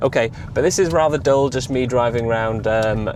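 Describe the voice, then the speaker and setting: Amid noticeable background noise, a man rattles along at a very fast pace with ordinary pitch variation. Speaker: EV vlogger. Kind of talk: casual vlog monologue. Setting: in a car. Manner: hesitant, many fillers.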